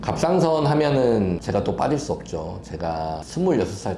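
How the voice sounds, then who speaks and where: With noticeable background noise behind him, a man talks with very wide pitch swings. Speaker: physician. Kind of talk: health explainer interview. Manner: conversational, explanatory.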